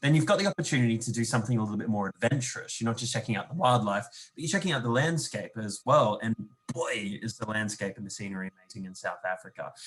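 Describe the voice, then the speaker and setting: This voice has lively intonation. It speaks with an Australian accent. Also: man. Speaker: tourism representative. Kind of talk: webinar presentation.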